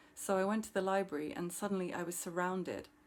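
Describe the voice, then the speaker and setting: This woman's voice sits at a fairly low pitch. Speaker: poet and PhD student. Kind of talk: poetry reading. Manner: fast.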